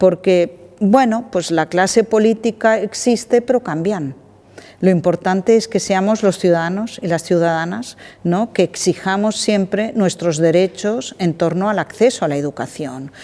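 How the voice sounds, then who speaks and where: This woman has a dark, mellow tone at medium pitch, talking at a fairly slow pace with ordinary pitch variation. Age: 60s. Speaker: director of a vocational training organization. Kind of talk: interview conversation.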